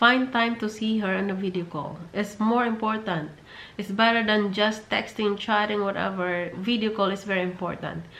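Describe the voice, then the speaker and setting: A woman with a Filipino accent, fairly even intonation, and audible room echo. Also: medium pitch for a woman, moderate pace. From Philippines. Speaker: vlogger. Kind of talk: advice vlog. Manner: halting, repetitive.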